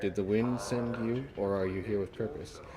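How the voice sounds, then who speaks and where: In a put-on character voice, a man speaks gravelly and fairly low at a moderate pace, with very even loudness. Clear background noise is audible. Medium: game stream. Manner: slow, grave.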